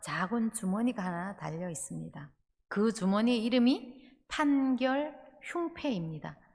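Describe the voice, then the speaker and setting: With a Gyeongsang accent, a woman speaks at a fairly slow pace, her fairly high, somewhat breathy voice making very wide pitch swings. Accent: picked-up Gyeongsang pronunciation. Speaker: pastor. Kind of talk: sermon. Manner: halting, many filler sounds.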